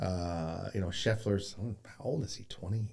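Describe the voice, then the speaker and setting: A somewhat breathy man at a moderate pace. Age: 50s. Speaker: golf coach. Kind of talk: casual chat. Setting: studio.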